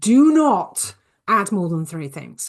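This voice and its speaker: Her pitch leaps up and down dramatically. The woman's voice carries a slight breathiness. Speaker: business coach. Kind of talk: casual talk to camera, advice video. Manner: hesitant, many fillers.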